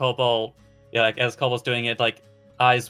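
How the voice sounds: This is a natural reading voice. It is used throughout.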